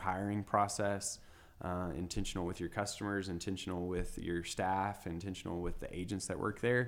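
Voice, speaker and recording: With a West Texas accent, a man speaks at a fairly low pitch. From West Texas, small town near Lubbock. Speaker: realtor and business owner. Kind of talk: interview.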